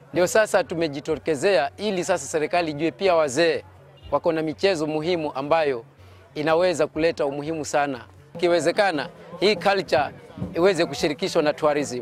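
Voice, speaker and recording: Faint music plays behind a man talking at a fairly quick pace. The sound is dry with no echo, and his pitch varies in an ordinary way. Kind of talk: interview answer. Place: open country. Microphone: lapel.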